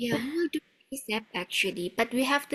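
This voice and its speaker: A woman with a strong Indonesian accent at a fairly quick pace. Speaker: webinar host. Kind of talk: online webinar Q&A.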